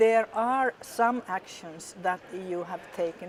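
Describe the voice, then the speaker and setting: A woman talks at a fairly slow pace. She has a Finnish accent. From Finland. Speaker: politician. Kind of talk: interview. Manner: halting, many fillers.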